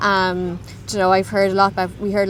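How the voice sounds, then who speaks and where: With an Irish accent, a woman speaks at a fairly low pitch. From Ireland. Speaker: interview guest, immigrant. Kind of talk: casual interview. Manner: halting.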